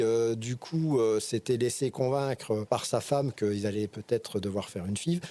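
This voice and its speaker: At a moderate pace, a man talks in a dark, mellow tone at medium pitch with ordinary pitch variation. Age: 60s. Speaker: interview guest, father of four. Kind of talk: podcast interview. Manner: halting, many hesitations and repetitions.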